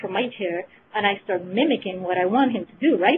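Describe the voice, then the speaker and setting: With a Spanish accent, a woman talks at a moderate pace in a medium pitch, her intonation lively. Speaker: clinical research trainer. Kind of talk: webinar presentation. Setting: webinar.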